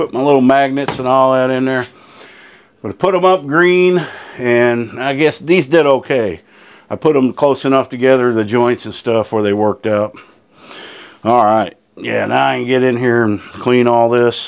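At a moderate pace, a man speaks in a medium pitch with a clear, smooth tone and ordinary pitch variation.

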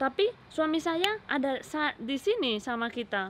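A woman's high, bright, sharp voice moves through very wide pitch swings. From Spain, Catalonia. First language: Spanish (speaking Indonesian). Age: 20s. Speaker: vlogger. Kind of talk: casual chat. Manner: halting. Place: garden. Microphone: phone near.

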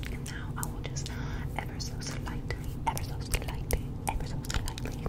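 A woman whispers over noticeable background noise. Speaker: ASMR creator. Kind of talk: ASMR get-ready-with-me makeup routine, casual talk to camera.

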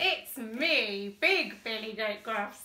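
A woman performs a put-on character voice. Her pitch is fairly high. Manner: bold, confident.

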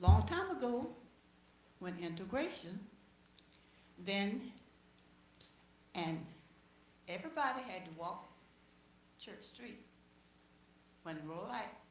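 Speaking fairly slowly with a Southern US accent, a woman with a fairly low pitch uses very wide pitch swings and vocal fry, with audible room echo. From US South, Chipley, Florida. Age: 80s+. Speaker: resident speaking at public meeting. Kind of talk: public comment at city meeting.

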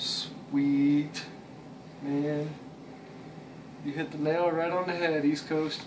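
Over noticeable background noise, a man talks at a very slow pace in a flat monotone, with long, frequent pauses. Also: fairly high pitch for a man. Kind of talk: casual talk to camera, unboxing.

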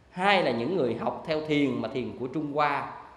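A man's fairly high-pitched voice at a fairly slow pace, with audible room echo. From Vietnam. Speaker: Buddhist monk teacher. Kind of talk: dharma lecture. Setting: monastic retreat classroom. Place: classroom. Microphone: handheld.

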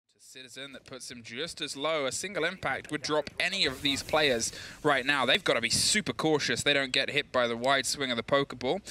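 An energetic, bright, sharp male voice at a fairly quick pace, with ordinary pitch variation, big swings in loudness and hardly any pauses. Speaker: esports commentator. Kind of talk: live esports commentary, play-by-play. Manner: fast, urgent, energetic play-by-play.

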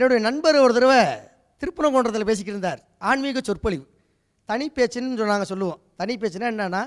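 This man speaks at an extremely high pitch, with ordinary pitch variation. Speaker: comedian and Tamil teacher. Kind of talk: stand-up.

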